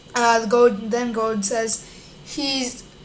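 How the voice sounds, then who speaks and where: A woman talks at a very slow pace with fairly even intonation, over noticeable background noise and audible room echo. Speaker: YouTuber reading a news article. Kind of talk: reading aloud. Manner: halting.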